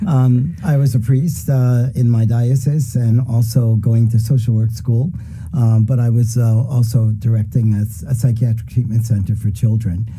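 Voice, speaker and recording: A man at a moderate pace, fairly even intonation and very even loudness, with audible room echo and noticeable background noise. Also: medium pitch for a man. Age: 70s. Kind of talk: casual chat. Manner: halting.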